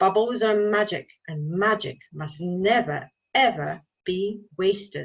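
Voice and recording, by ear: A natural voice reads a text aloud. Nothing much is heard behind it.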